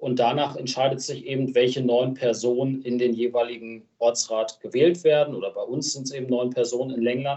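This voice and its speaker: The man's delivery is fairly quick, with hardly any pauses. His medium pitch stays monotone and flat. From Lower Saxony, Germany. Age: 20s. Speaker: local politician. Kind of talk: casual interview.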